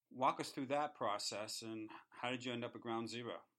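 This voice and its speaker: Fairly quick and with fairly even intonation, a man talks in a plain, everyday voice. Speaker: podcast host. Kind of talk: podcast interview. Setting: studio.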